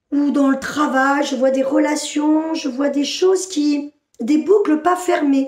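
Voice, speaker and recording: A woman with a high pitch speaks at a very slow pace with fairly even intonation. Her quiet background carries audible room echo. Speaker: spiritual channeler. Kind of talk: channeled spiritual message. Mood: inward, trance-like channeling. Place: home room. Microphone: phone near.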